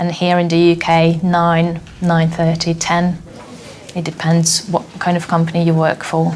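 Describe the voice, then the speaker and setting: The talking keeps to a moderate pace while noticeable background noise fills the clip. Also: woman. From Hungary. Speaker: former teacher working abroad. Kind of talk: interview.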